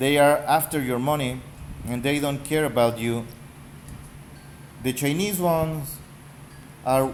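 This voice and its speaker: With a Spanish accent and a fairly high voice, a man speaks with long, frequent pauses amid audible room echo. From Mexico. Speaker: gaming YouTuber. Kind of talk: casual rant. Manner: halting.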